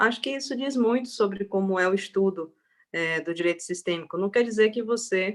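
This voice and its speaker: With an ordinary speaking voice, a woman talks at a moderate pace and medium pitch, with ordinary pitch variation. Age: young. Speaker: public defender. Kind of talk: panel talk.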